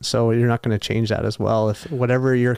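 A man with a Canadian accent and a plain, everyday voice speaks at a medium pitch in a very clean recording with a silent background. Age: 20s. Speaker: engineer and bodybuilder. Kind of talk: casual interview chat. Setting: studio.

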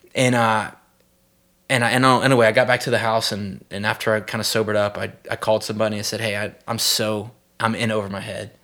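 Very fast and flat in intonation, a man with a Southern US accent speaks at a medium pitch in a bright, sharp tone, recorded very cleanly with a silent background. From US South, South Mississippi. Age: 30s. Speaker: pastor. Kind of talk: testimony. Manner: halting, many repeated words.

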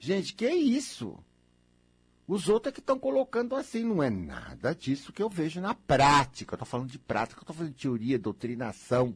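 Somewhat breathy and fairly high-pitched, a man talks at a fairly quick pace in an animated tone with very wide pitch swings. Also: big swings in loudness. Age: 60s. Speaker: radio host. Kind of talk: radio monologue. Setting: radio studio.

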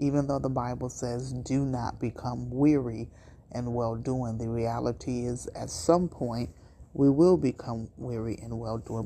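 A woman speaks at a fairly slow pace in a very deep, low voice with vocal fry. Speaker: preacher. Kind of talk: sermon-like encouragement message. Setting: recorded message at night.

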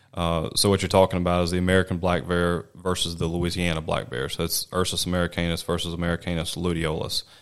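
A man with a Mississippi accent speaks at a very fast pace with hardly any pauses, his pitch very deep and low. His intonation is fairly even, and the recording is very clean with a silent background. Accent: US Southern (Mississippi). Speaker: wildlife biologist. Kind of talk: interview. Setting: studio.

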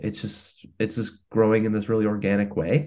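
A man's normal speaking voice, fairly low in pitch, at a moderate pace against a quiet background. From Canada, Hamilton, Ontario. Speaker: singer-songwriter. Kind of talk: casual interview chat.

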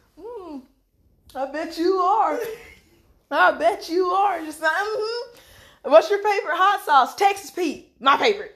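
Big swings in loudness, a fairly slow pace with long, frequent pauses, lively intonation and a Southern US accent. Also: woman, extremely high pitch for a woman. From North Carolina. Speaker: podcast host. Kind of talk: casual chat.

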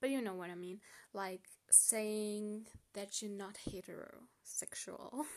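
A woman speaks at a very slow pace. Her medium-pitched voice keeps fairly even intonation. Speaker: podcaster. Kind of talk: solo podcast reading and answering questions.

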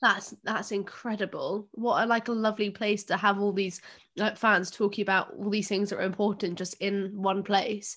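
Speaking at a moderate pace, a woman keeps a medium pitch with monotone, flat intonation. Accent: English. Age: 20s. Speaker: podcast host. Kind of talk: casual chat. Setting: video call.

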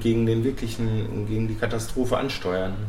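This man speaks at a medium pitch. Audible room echo and noticeable background noise surround his voice. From Bochum, Ruhr area, Germany. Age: 30s. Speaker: school mentoring program worker. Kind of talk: casual chat. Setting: café.

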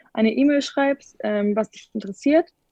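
With ordinary pitch variation, a woman talks against a quiet background. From Bavaria, Munich. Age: young. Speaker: gap-year program participant. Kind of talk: casual interview.

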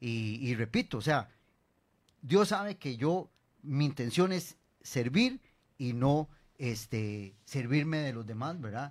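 A man with a Costa Rican accent speaks at a medium pitch and a very slow pace. His intonation is lively, broken by long, frequent pauses. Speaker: mayoral candidate. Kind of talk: radio interview. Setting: radio studio. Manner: halting.

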